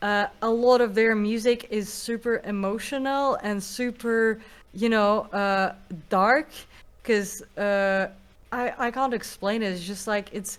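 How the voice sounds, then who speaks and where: In a very clean recording with a silent background, a woman with a Russian accent speaks very slowly at a fairly high pitch with fairly even intonation. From Russia, Moscow. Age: young. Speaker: musician. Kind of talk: interview.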